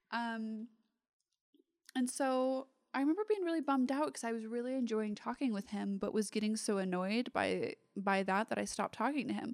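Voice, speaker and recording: A woman with a fairly high pitch uses an ordinary speaking voice, moving at a moderate pace with ordinary pitch variation. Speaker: stripper answering questions. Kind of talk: casual chat, Q&A. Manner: joking, playful.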